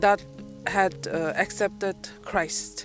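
Over clear background music, the speech comes at a very slow pace with a dry sound and no echo. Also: woman. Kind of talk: interview answer. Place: open country. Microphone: handheld.

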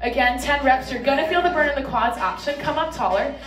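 Over clear background music, a woman talks at a moderate pace in a high pitch. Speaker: fitness coach. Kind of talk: workout tutorial instruction. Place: gym.

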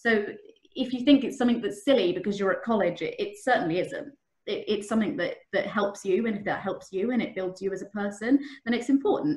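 A woman with an English accent speaks at a fairly quick pace, her voice somewhat breathy. The background is quiet, though there is audible room echo. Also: fairly high pitch for a woman, ordinary pitch variation. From England. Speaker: trainee solicitor. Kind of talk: career talk to students. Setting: video call. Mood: warm, encouraging. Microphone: webcam.

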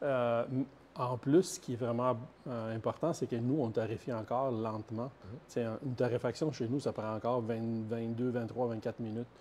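Fairly slow in pace, this voice has a Quebec accent. The intonation is fairly even. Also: man, medium pitch for a man. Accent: Québécois French. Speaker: coffee company co-founder. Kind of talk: casual chat.

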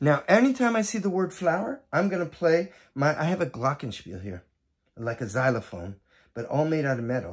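A man's warm, animated voice carries vocal fry and very wide pitch swings. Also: quiet background. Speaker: educator and teaching artist. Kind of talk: children's storytelling with music. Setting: video for students, instruments at hand. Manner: warm, animated, gentle storyteller pacing. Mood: warm, friendly. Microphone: phone near.

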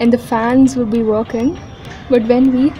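Faint music plays in the background as a woman with a high pitch speaks at a fairly slow pace with fairly even intonation. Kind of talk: casual vlog chat. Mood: nostalgic, lightly amused. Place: street. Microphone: phone near.

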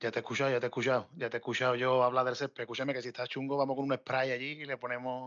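The delivery is very fast, with hardly any pauses. The intonation stays monotone and flat. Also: man, medium pitch for a man. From Cádiz, Spain. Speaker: football fan guest. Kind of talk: casual chat.

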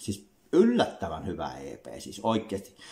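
In a quiet background, a man speaks very slowly at a fairly low pitch, with lively intonation and vocal fry. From Finland. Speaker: music reviewer, YouTuber; music reviewer. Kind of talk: album review monologue. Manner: halting, many fillers and repetitions. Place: home room. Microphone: webcam.

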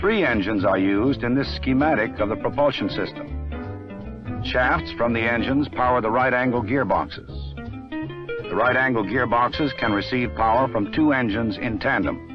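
Clear music plays in the background as a man talks at a moderate pace. His voice comes through dry, with no echo. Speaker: film narrator. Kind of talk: documentary narration. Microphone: old recording.

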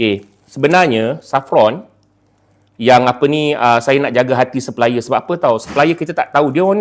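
With ordinary pitch variation, the man keeps his speech at a moderate pace. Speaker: YouTuber and online seller. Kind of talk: casual live stream talk and product pitch. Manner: casual, hesitant with many fillers.

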